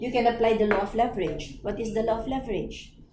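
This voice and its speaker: Her voice echoes audibly off the room, with noticeable noise in the background. The woman speaks at a medium pace. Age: 60s. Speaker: network marketing mentor. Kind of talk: training presentation.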